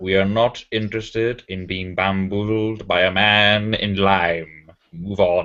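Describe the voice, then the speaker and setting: A man's put-on, growling character voice, fairly low in pitch, fairly slow with hardly any pauses and fairly even intonation. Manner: angry.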